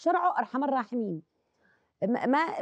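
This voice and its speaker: A woman speaks at a moderate pace with a Yemeni accent. The sound is dry and close, with no echo. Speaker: actress and singer. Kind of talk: casual chat.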